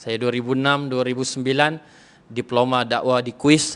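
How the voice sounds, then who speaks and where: A man's medium-pitched voice, flat and monotone, at a moderate pace. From Sabah, Malaysia (Lahad Datu). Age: 30s. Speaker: religious preacher and lecturer. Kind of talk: religious talk to women's audience. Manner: casual, relaxed.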